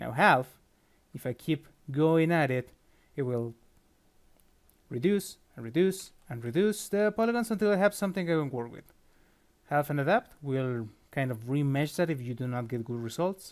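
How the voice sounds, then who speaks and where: A man's fairly high voice at a moderate pace, with lively intonation, big swings in loudness, and long, frequent pauses. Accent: non-native. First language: not English. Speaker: 3D sculptor. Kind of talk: software tutorial. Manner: casual, with filler words and self-corrections.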